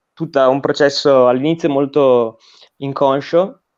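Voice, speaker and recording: In a quiet setting, a man talks at a fairly slow pace with ordinary pitch variation. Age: 20s. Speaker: recent graduate, political education guest. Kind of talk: interview conversation. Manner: hesitant, with fillers and repetitions.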